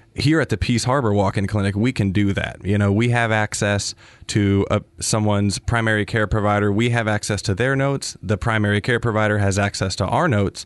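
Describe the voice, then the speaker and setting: A man's unremarkable speaking voice, fairly low in pitch, with fairly even intonation, very even loudness, a fairly quick pace and hardly any pauses, over a quiet background. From US Midwest, Wisconsin. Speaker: physician assistant. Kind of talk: interview. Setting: studio.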